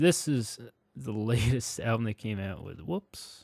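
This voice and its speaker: This man talks at a very slow pace in a medium pitch, with ordinary pitch variation. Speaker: music reviewer. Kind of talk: casual review monologue. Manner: hesitant, filler-heavy.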